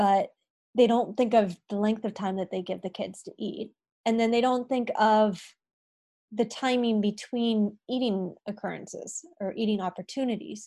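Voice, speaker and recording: With an American accent, a woman uses a normal speaking voice at a moderate pace, her fairly high pitch kept fairly even against a quiet background. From California, US. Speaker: dietitian. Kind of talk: interview conversation.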